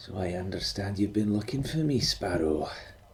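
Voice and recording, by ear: In a put-on character voice, a man speaks softly and huskily at a moderate pace, his fairly low pitch rising and falling in a lively way against clear background noise.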